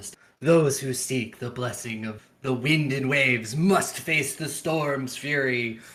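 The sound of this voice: A man puts on a booming character voice at medium pitch, moving at a fairly slow pace.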